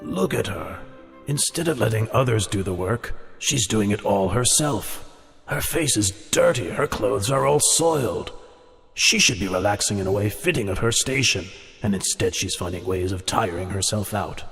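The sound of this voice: Over light background noise, a man puts on a cartoonish character voice at a fairly low pitch, with lively intonation and a moderate pace.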